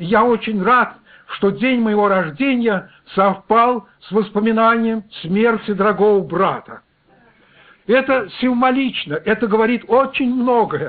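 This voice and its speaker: At a very slow pace, a man speaks in a high pitch with ordinary variation. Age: 60s. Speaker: preacher. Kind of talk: sermon.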